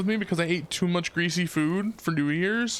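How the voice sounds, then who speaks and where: There is noticeable background noise behind this speaker. He is a man with a high pitch and an American accent. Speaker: video game streamer. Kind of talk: casual chat. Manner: casual, halting.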